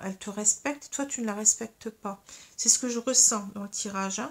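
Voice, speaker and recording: A fairly high-pitched woman at a moderate pace, with fairly even intonation. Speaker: tarot and astrology reader. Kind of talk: tarot card reading. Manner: halting, many fillers.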